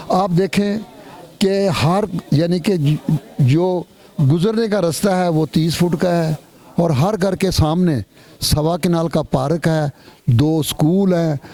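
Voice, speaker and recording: A man speaks at a high pitch with ordinary pitch variation and very even loudness. He leaves long, frequent pauses. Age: 70s. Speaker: housing charity founder. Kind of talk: interview.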